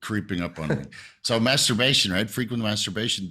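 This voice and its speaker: A man's voice has a bright, sharp tone and lively intonation at a fairly quick pace. The recording is very clean, with a silent background. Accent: Dutch. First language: Dutch. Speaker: health discussion guest. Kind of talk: casual podcast discussion.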